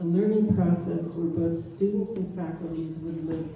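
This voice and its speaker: With an American accent and a fairly low pitch, a woman speaks with ordinary pitch variation amid noticeable background noise and audible room echo. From Pittsburgh, US. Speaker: artist. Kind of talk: public talk, partly read aloud. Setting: museum talk with audience. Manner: slightly impaired speech; reading from script.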